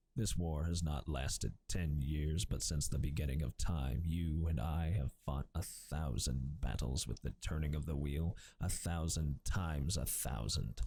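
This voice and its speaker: At a fairly slow pace with hardly any pauses, a man talks in a very deep, low pitch with a dark, mellow, somewhat breathy tone, very even loudness and ordinary pitch variation. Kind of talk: ASMR audiobook reading, softly spoken. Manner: soft-spoken, quiet, gentle.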